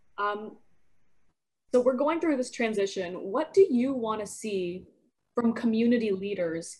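Using a plain, everyday voice, a woman talks at a middling speed, her pitch moving in a normal way. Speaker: podcast host. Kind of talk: casual interview.

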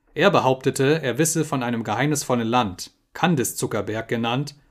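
On a very clean recording with a silent background, a man in an unremarkable speaking voice talks at a moderate pace, with a medium pitch and ordinary pitch variation. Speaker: audiobook narrator. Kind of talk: dramatic audiobook narration.

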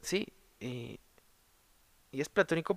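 A man speaks with a Mexico City accent. The recording is very clean, with a silent background. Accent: Mexican Spanish (Mexico City). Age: 20s. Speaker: podcast host, art student. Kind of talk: solo monologue podcast. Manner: casual, hesitant with repetitions.

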